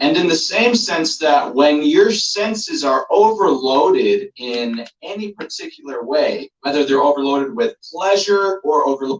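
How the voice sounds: Speaking at a fairly slow pace with few pauses, a man talks at a fairly high pitch. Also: lively intonation.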